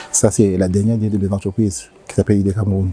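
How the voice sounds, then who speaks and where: Over noticeable background noise, a man with a fairly low pitch talks at a very fast pace in a dry, close sound with no echo. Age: 60s. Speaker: company director. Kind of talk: interview. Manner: halting.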